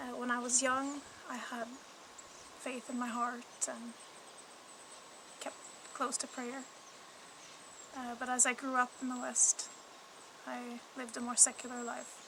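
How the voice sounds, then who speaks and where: The delivery is monotone and flat at a fairly slow pace, with long, frequent pauses. Noticeable background noise runs underneath. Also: woman, high pitch for a woman. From Canada. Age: 30s. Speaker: mother appealing for support. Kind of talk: personal testimony.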